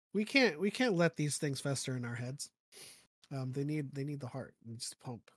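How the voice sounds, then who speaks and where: On a very clean recording with a silent background and a dry, close sound with no echo, a man's fairly high, somewhat breathy voice moves at a moderate pace with big swings in loudness. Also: ordinary pitch variation. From Philippines. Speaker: podcaster and fan fiction writer. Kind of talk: casual chat.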